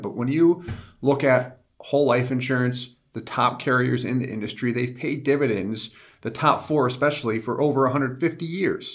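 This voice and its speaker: A man speaks in a plain, everyday voice at a moderate pace. His pitch varies in an ordinary way. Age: 30s. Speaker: insurance company executive. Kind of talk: casual industry discussion.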